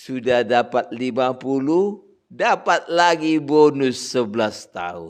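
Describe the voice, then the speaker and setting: Against a quiet background, a man speaks very slowly at a medium pitch. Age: 60s. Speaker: pastor. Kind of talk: sermon. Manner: conversational.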